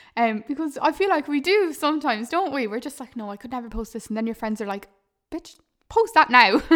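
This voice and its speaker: Fairly quick, lively intonation from a high-pitched woman, with big swings in loudness. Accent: Irish. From Ireland. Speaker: podcast host, digital marketer. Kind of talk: casual monologue. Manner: animated.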